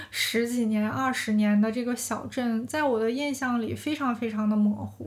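In a slight northeastern Chinese accent, a woman speaks at a high pitch. Her pace is fairly slow. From Heilongjiang, northeast China (county near Harbin). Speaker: podcast host. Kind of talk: casual monologue. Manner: relaxed, meandering.

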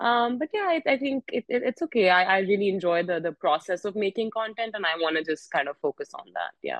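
Speaking fairly quickly with hardly any pauses, a woman with an Indian accent swings her pitch very widely. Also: medium pitch for a woman. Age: young. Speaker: podcast host. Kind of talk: casual chat. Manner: talkative.

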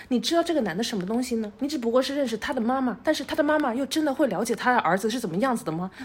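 A woman speaks very fast with hardly any pauses, her high-pitched voice full of lively intonation. Noticeable background noise sits behind her. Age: 20s. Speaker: podcast co-host. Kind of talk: casual chat.

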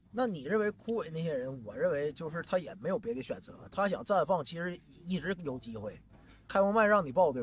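Speaking with a Northeastern Chinese accent, a man talks at a fairly quick pace in a high pitch, with very wide pitch swings and big swings in loudness. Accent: Northeastern Mandarin. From Northeast China. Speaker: stand-up comedian. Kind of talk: casual chat. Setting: outdoors by the roadside.

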